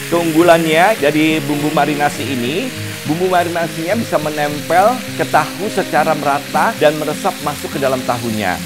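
A man talks at a moderate pace while clear music sounds behind him. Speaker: cooking show host. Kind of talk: tutorial. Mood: cheerful, warm. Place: studio. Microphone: lapel.

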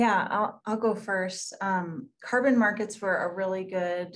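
A somewhat breathy woman's voice at a medium pitch, fairly slow, with fairly even intonation. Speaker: local newspaper reporter. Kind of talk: panel discussion. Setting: video call. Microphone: video call.

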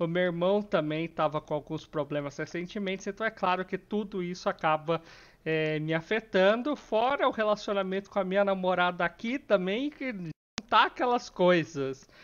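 The man's voice has a high pitch and ordinary pitch variation. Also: moderate pace. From Brazil. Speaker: gaming YouTuber. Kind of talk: angry rant, venting about family and politics, then closing apology. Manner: irritated, stressed, rising frustration when talking about family; downcast, sad, apologetic. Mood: stressed but calm, apologetic. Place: home room. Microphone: headset.

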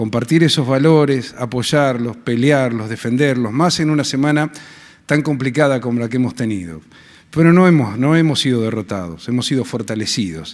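The background is quiet. A man talks at a moderate pace with lively intonation. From Argentina, Patagonia; Argentina. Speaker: senator. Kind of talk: ceremonial speech. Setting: legislative hall ceremony. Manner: halting, with fillers. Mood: warm, grateful. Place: hall. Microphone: podium.

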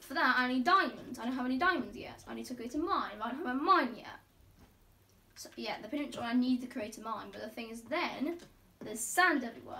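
Her voice high-pitched, a woman talks at a fairly quick pace. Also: ordinary pitch variation. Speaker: gamer. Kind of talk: casual gameplay commentary. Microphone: phone near.

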